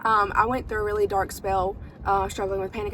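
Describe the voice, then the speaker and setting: A woman talks at a fairly quick pace with a North Carolina accent. Audible room echo and noticeable background noise are present. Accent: Southern US (North Carolina). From US South, North Carolina. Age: 20s. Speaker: vlogger and small business owner. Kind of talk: casual vlog chat. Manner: chatty, fillers and repetitions.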